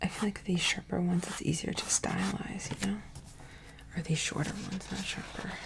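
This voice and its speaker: A woman whispers in a relaxed tone at a fairly quick pace, with noticeable background noise. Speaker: ASMR channel host and artist. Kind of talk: casual soft-spoken ramble to camera. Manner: soft-spoken, relaxed.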